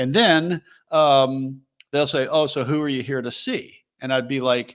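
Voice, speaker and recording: With an American accent, a man in an ordinary speaking voice talks at a fairly slow pace, with a fairly high pitch and fairly even intonation. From USA. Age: middle-aged. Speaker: soccer travel company founder. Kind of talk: interview.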